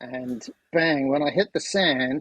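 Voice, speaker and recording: A man speaks at a fairly high pitch with ordinary pitch variation. It is an ordinary speaking voice. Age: 60s. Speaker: amateur musician and corporate change agent. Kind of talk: casual chat.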